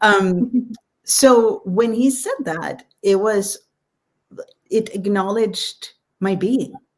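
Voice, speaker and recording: Somewhat breathy and fairly high in pitch, a woman speaks at a very slow pace with long, frequent pauses. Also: ordinary pitch variation. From Sweden. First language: Swedish. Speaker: author. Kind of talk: live stream interview. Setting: live stream.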